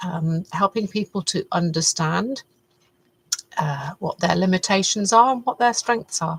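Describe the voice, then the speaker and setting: Somewhat breathy, the voice carries a British accent and ordinary pitch variation. The sound is dry and close, with no echo. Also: woman, medium pitch for a woman, fairly slow pace. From UK, partly raised in Canada. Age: 60s. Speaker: faith-based personal development vlogger. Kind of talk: reflective monologue. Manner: hesitant, many fillers.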